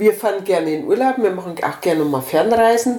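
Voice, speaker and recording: A woman speaks at a moderate pace with a fairly high pitch and lively intonation. Noticeable background noise runs behind her. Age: 60s. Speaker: retired volunteer organizer of a senior-help association. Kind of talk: casual interview.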